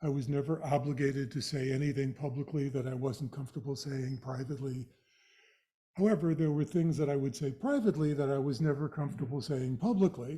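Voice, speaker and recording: A man's somewhat breathy voice, fairly high in pitch, with a dark, mellow tone, ordinary pitch variation and a fairly quick pace. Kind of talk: lecture.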